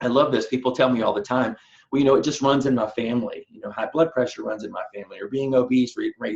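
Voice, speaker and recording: Here a man talks at a very fast pace with an animated tone. He speaks in a Southern US accent. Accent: Southern US accent, still there. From US South. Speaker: personal trainer. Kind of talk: online nutrition seminar. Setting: online webinar, recorded. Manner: animated, repeats words and fillers.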